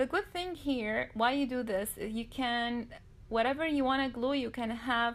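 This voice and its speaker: With a non-native accent, a woman speaks at a fairly high pitch and a moderate pace, showing ordinary pitch variation. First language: not English. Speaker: DIY crafts youtuber. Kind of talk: tutorial. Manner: halting.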